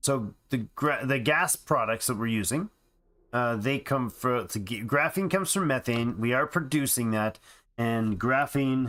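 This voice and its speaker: The man has a plain, everyday voice at a medium pitch with ordinary pitch variation. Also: fairly slow pace, very clean recording, silent background. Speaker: gaming streamer. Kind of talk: live gameplay commentary. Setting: live stream.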